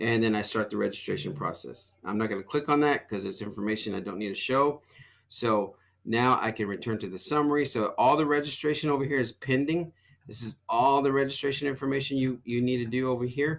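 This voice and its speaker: A medium-pitched male voice at a fairly quick pace with ordinary pitch variation. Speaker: school administrator. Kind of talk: tutorial. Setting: screen-share video. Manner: fast.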